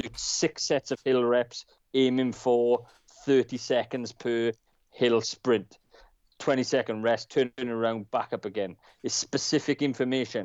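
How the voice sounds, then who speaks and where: In an unremarkable speaking voice, a man of medium pitch talks at a fairly slow pace with fairly even intonation. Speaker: co-host, former soldier.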